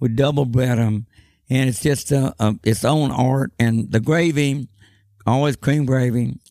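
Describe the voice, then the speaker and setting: In a Texan accent, a man speaks at a fairly slow pace with a medium-pitched voice. His intonation is fairly even, and the sound is dry and close with no echo. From Austin, Texas. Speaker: honky-tonk owner. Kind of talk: casual interview.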